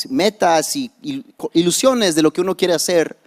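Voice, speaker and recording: With an English accent, a man speaks at a fairly slow pace with very wide pitch swings, in a dry, close sound with no echo. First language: English (speaking Spanish). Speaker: pastor. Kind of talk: sermon. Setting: church. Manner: halting, code-switching.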